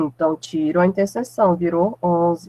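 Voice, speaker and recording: The pace of this woman's speech is fairly slow. Her voice sounds dry and close, without any echo. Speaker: math teacher. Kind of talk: lecture. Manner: deliberately slowed down.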